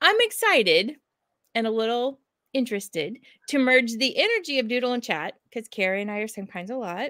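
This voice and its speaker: A woman's high, bright, sharp voice at a fairly quick pace, with lively intonation against a quiet background. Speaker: educator and co-host. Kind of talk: casual chat. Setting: video call. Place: home room.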